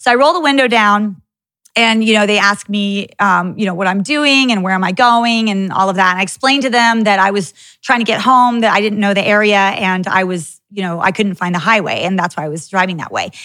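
Over a silent background in a very clean recording, a woman speaks at a fairly quick pace. Her tone is animated, with a medium pitch and ordinary pitch variation. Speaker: podcast host. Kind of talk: casual chat.

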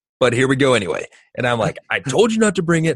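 A man speaks at a fairly quick pace in a somewhat breathy voice with a fairly high pitch. His pitch swings are very wide, and the sound is dry and close with no echo. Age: 30s. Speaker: parenting podcast host, father of twins. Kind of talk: casual chat.

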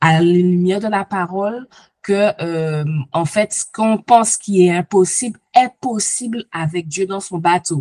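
A woman with an ordinary speaking voice talks at a fairly slow pace and medium pitch, with ordinary pitch variation. The sound is dry and close, with no echo. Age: 40s. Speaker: coaching client giving testimony. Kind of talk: testimony.

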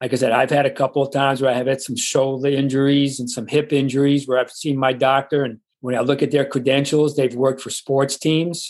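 Hardly pausing, a man with a New York accent talks at a fairly quick pace in a fairly high pitch and a monotone, flat intonation. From New York, the Bronx. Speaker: retiree. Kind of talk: interview.

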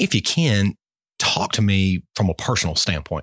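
Very deep and low in pitch, a man speaks with an American accent in a dry, close sound with no echo on a very clean recording with a silent background. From Albany area, US. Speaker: podcast host, former journalist. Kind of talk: interview.

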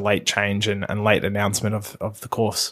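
Fairly quick man with an Australian accent on a very clean recording with a silent background. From Australia, Melbourne area. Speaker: podcast host. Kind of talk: solo podcast monologue. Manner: casual with frequent fillers and repetitions.

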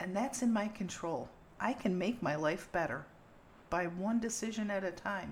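With ordinary pitch variation and a moderate pace, the speech sounds somewhat breathy. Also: woman, medium pitch for a woman. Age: 60s. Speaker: podcast host. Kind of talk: casual conversational podcast.

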